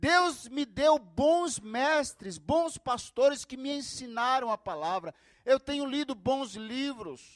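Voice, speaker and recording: Extremely high-pitched for a man, this male voice moves at a very slow pace in a dry, close sound with no echo. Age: 60s. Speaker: pastor. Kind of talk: sermon.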